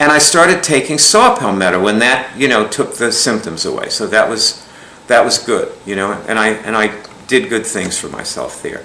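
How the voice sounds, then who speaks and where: Through audible room echo and noticeable background noise, a man speaks at a moderate pace. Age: 60s. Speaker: alternative healing teacher. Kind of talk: lecture. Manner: casual, rambling with many fillers.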